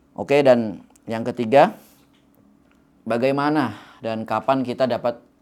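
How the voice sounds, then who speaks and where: This man has a medium pitch. He speaks with a slight Javanese accent. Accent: slight Javanese (medok). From Java, Indonesia. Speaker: youth motivational speaker. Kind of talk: motivational talk. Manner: casual, conversational.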